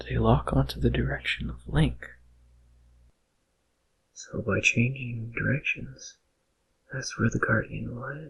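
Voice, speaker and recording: A soft-spoken man whispers at a fairly slow pace. His loudness swings widely, and his pauses are long and frequent. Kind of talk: ASMR whisper narration of game facts. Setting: binaural microphone recording. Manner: whispered, soft-spoken, relaxing.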